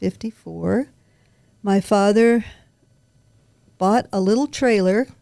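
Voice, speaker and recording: Speaking with an American accent at a fairly slow pace, the voice has a dark, mellow tone in a dry, close sound with no echo. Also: woman. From Nevada (Henderson), from age 12. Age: 80s+. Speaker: longtime local resident. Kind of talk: interview, life story.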